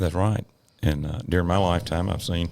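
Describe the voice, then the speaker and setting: A man talks in a very deep, low voice. His pace is moderate. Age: 70s. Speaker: emergency physician and medical director. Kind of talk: casual interview chat.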